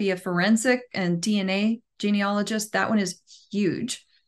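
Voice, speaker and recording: Against a quiet background, a woman with an unremarkable speaking voice talks at a moderate pace and a medium pitch. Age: 50s. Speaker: professional genealogist. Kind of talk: casual chat.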